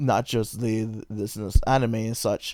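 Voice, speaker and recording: A man's dark, mellow voice at a moderate pace, recorded very cleanly against a silent background. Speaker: hobby artist and video creator. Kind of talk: casual vlog monologue. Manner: halting, repeats words.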